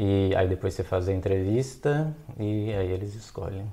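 A fairly low-pitched male voice in a Minas Gerais accent, dark and mellow in tone, at a fairly slow pace. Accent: Mineiro Brazilian Portuguese. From Belo Horizonte, Minas Gerais, Brazil. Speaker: philosophy researcher, postdoc. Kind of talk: casual interview chat.

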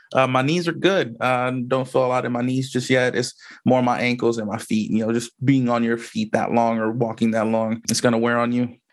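A man talks at a fairly quick pace with hardly any pauses, in an ordinary speaking voice of medium pitch. His intonation is fairly even, and the background is quiet. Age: 30s. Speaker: podcast host. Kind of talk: casual solo monologue. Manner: casual, filler-heavy.

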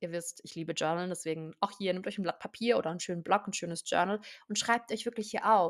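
A woman speaks at a very fast pace in an animated tone. Her loudness swings widely. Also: medium pitch for a woman. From southern Germany, near Stuttgart. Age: 20s. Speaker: podcast host, hypnosis coach. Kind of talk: self-help monologue.

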